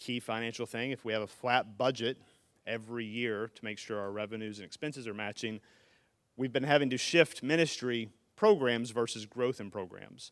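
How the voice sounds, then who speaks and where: A man with an unremarkable speaking voice talks at a moderate pace and medium pitch, with big swings in loudness. The recording is very clean, with a silent background. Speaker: church finance committee member. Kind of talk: financial report presentation. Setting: stage with audience. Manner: jokey, upbeat.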